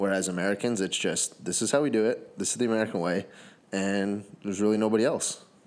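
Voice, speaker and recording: At a very fast pace, a man with a fairly low pitch talks in fairly even intonation. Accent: Canadian. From Canada (Sarnia, Ontario), Native. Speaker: podcast host. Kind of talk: casual chat.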